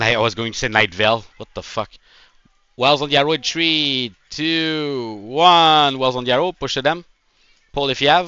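A man's fairly high pitch carries ordinary pitch variation in an ordinary speaking voice. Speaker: gaming squad commander. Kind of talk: rapid-fire game commander callouts with countdowns. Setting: game voice chat with squad. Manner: urgent, clipped repetitive commands over voice chat; excitable, laughing between calls.

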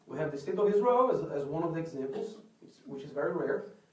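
A man's speech is heard with audible room echo. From Brazil. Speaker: artist. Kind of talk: lecture. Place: hall. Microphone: camera far.

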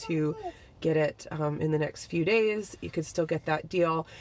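A woman's fairly low pitch with ordinary pitch variation, at a moderate pace over light background noise. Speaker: family vlogger. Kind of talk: casual vlog chat. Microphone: phone near.

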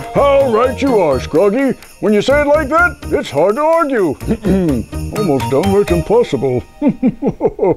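A cartoonish character voice with a fairly high pitch moves at a fairly slow pace. Music plays clearly in the background. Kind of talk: TV commercial read. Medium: puppet.

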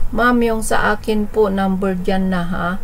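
The speaker talks at a fairly slow pace. There is light background noise. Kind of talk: bingo caller and live-stream host reading out shout-outs and number combinations. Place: home room. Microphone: webcam.

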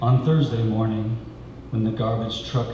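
A man's fairly low, monotone, flat voice comes with audible room echo and noticeable background noise. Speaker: poet. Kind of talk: poetry reading. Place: cafe. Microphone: camera far.

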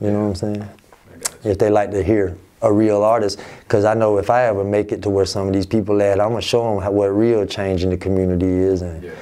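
A man with an American accent talks at a very fast pace. His fairly low pitch stays monotone and flat. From Albany, Georgia, US South; Georgia. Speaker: rapper; interviewee. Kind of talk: interview. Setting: office. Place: office.

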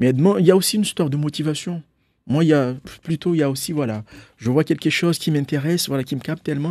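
At a very fast pace, a man with a dark, mellow tone talks with ordinary pitch variation, the sound dry with no echo over a quiet background. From Mayotte. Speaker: painter and illustrator; guest. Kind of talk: radio and TV interview. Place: studio. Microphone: studio mic.

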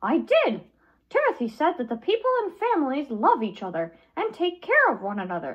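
A put-on character voice, female-sounding and high-pitched, at a moderate pace. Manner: excited, upbeat.

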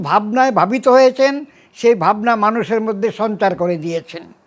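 A man is speaking. His voice sits at a high pitch. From Bangladesh. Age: 80s+. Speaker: writer and thinker. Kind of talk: interview. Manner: halting.

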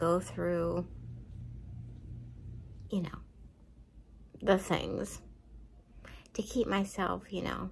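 A woman talks while light background noise is audible. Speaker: vlogger. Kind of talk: casual vlog chat. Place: home room. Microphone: phone near.

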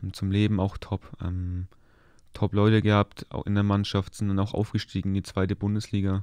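A man speaks at a moderate pace with a fairly low pitch, a dark, mellow tone and flat, monotone intonation, recorded dry with no echo against a quiet background. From Upper Franconia, Germany (Kulmbach area); Upper Franconia, Germany. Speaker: professional footballer; guest. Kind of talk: casual chat. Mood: relaxed, calm. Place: studio. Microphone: studio mic.

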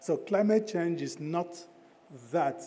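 Here a man talks at a moderate pace. His pitch is fairly high. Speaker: development bank climate director. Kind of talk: conference presentation. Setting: stage with audience. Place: hall. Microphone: podium.

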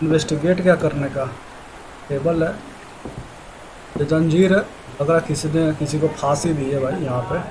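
There is noticeable background noise. Over it, a man talks with a fairly high pitch. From India. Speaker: gamer and VO artist. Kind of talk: casual gaming commentary. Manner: casual, chatty. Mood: joking, mildly tense. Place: home room. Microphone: headset.

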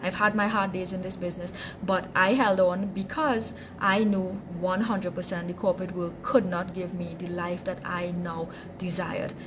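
A woman speaks at a moderate pace in a fairly low voice, with few pauses and little pitch movement.

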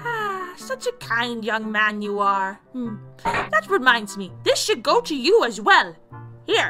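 Over faint background music, a woman speaks at a fairly slow pace with a fairly high pitch. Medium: audio drama. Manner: kindly, warm, then alarmed.

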